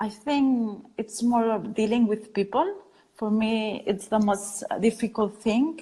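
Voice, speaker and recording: A woman's fairly high pitch with fairly even intonation. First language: Spanish or Catalan. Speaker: design studio founder. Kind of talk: interview. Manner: halting.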